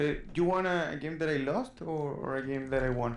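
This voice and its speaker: A man with a slight Spanish accent, fairly high pitch and fairly quick pace, in audible room echo. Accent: Spanish-accented English, mild. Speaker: student gamer being coached. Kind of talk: coaching session, casual chat. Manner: halting.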